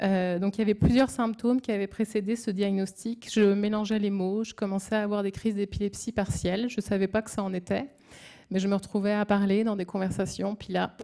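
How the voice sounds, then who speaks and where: A woman's dark, mellow voice at a medium pitch, flat and monotone, at a fairly quick pace, on a very clean recording with a silent background. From France. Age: 30s. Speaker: brain tumour patient. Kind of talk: testimony. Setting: symposium audience. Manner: halting, hesitant.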